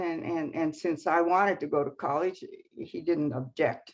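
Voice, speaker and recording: A woman's voice against a quiet background. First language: Japanese. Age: 90s. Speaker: activist. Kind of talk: interview. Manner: halting.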